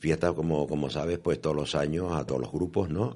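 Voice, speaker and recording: A man talks at a moderate pace with a very deep, low pitch. His tone is dark and mellow, with vocal fry. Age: 70s. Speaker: choir member. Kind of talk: radio interview.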